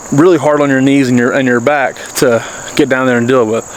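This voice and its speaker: A man with a Southern accent, fairly high-pitched, at a very fast pace with fairly even intonation, over noticeable background noise. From US South, North Carolina Blue Ridge foothills. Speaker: homesteader and gardening channel host. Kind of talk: casual garden tour.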